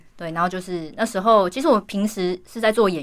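A woman's medium-pitched voice, a plain, everyday voice. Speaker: singer and actress. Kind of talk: interview.

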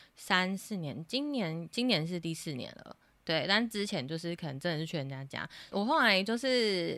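On a very clean recording with a silent background, a woman with a fairly low pitch and a bright, sharp tone talks at a moderate pace with lively intonation. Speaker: online English teacher. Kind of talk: interview.

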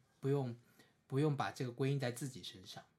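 This man speaks at a fairly quick pace. His voice is somewhat breathy. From China, Suzhou, Jiangsu. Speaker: visually impaired counseling PhD student. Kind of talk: casual chat.

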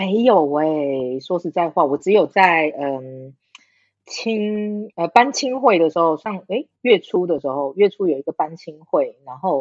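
A woman with a plain, everyday voice, fairly low in pitch, at a fairly slow pace with lively intonation and big swings in loudness. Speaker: podcast guest. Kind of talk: casual chat.

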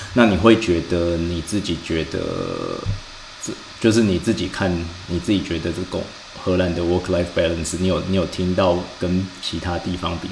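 A man's very deep, low voice comes through in a monotone, flat delivery at a moderate pace, with noticeable background noise and audible room echo. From Taiwan. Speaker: podcast host, financial industry analyst. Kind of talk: casual chat. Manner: halting.

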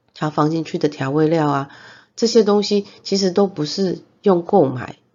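At a moderate pace, a woman with a Taiwanese accent speaks at a fairly low pitch with ordinary pitch variation. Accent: Taiwanese Mandarin. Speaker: podcast host. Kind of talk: casual monologue. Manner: hesitant, many fillers.

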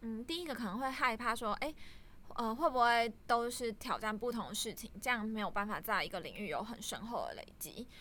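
Her voice is bright and sharp, with a fairly high pitch and ordinary pitch variation. The woman talks at a fairly quick pace. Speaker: data analyst at a startup, guest interviewer. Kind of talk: interview.

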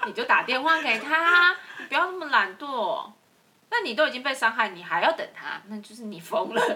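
In a Taiwanese accent, a woman uses a raised, projected voice at a high pitch, with very wide pitch swings, big swings in loudness and a moderate pace. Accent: Taiwanese Mandarin. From central Taiwan. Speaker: podcast co-host. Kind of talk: casual chat.

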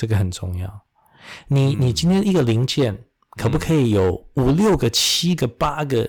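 Somewhat breathy and at a medium pitch, a man speaks at a moderate pace with very wide pitch swings and long, frequent pauses. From Taiwan, then Istanbul and US East Coast schooling. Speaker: medical professor and surgeon. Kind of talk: interview. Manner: code-switches between Mandarin and English.

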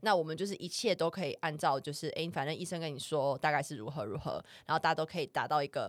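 A woman speaks in a Taiwanese accent on a very clean recording with a silent background. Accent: Taiwanese Mandarin. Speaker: podcast co-host. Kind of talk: casual chat.

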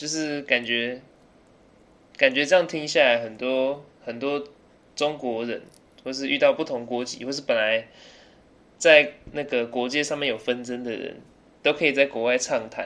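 With a bright, sharp tone and a fairly high pitch, a man speaks at a moderate pace, leaving long, frequent pauses. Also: fairly even intonation. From Taiwan (early childhood in England). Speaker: podcast guest. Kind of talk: casual chat.

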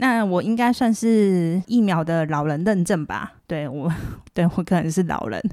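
Fairly low in pitch with a dark, mellow tone, a woman speaks fairly slowly and with lively intonation in a very clean recording with a silent background. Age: middle-aged. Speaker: podcast host. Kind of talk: casual monologue. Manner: soft-spoken.

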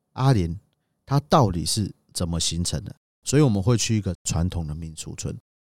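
A man at a fairly quick pace with very wide pitch swings, in a very clean, dry, close recording with no echo and a silent background. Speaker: tour leader and podcast co-host. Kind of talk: casual travel chat.

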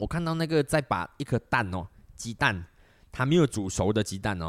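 Recorded very cleanly with a silent background and a dry, close sound with no echo, a man at a medium pitch and moderate pace makes very wide pitch swings. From Malaysia. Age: 30s. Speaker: podcast host. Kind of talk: solo monologue podcast. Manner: many filler words.

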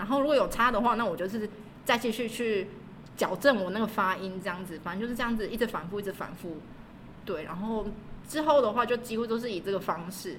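Amid audible room echo, a woman speaks at a very fast pace in a fairly high pitch, somewhat breathy, with ordinary pitch variation. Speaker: language school receptionist and graduate student. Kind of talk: casual interview.

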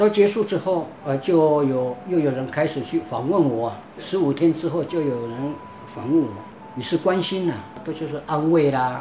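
A man talks in a fairly high voice with ordinary pitch variation. Background noise is noticeable. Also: moderate pace. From Taiwan, Pingtung County. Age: 50s. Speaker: church member. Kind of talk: testimony. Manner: halting, many fillers.

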